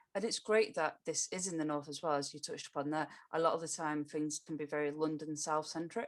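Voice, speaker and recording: This woman talks very fast with hardly any pauses, her very deep, low voice kept in a fairly even intonation. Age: 30s. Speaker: podcast host. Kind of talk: podcast interview.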